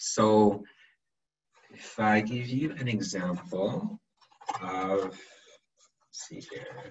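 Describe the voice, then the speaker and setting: A man's fairly low, somewhat breathy voice at a very slow pace, with long, frequent pauses, big swings in loudness and audible room echo. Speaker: webinar presenter on counseling. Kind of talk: webinar lecture. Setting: video call webinar. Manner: halting, repeats words.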